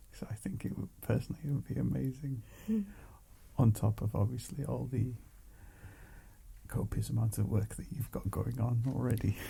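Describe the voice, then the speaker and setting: A soft-spoken man with a calm, dark, mellow tone and vocal fry talks at a fairly low pitch and a moderate pace, using lively intonation and long, frequent pauses. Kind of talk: ASMR soft-spoken ramble. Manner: soft-spoken, calm.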